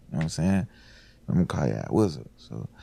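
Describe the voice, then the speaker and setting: A man speaks in a dark, mellow tone. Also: very clean recording, silent background. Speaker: rapper. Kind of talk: interview. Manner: laid back; quiet.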